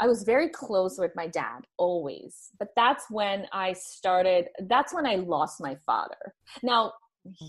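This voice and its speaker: A woman talks at medium pitch with lively intonation. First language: not English. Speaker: holistic nutritionist. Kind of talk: interview testimony. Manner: halting, many repetitions.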